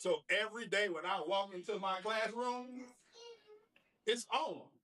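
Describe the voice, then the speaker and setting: A man's raised, projected voice, high-pitched and animated, with ordinary pitch variation at a fairly slow pace. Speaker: basketball coach and teacher. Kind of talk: presentation to an audience.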